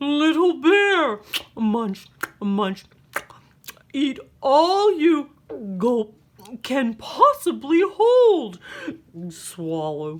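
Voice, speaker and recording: Put on as a character voice, the high-pitched speech moves at a very slow pace with long, frequent pauses. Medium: read story.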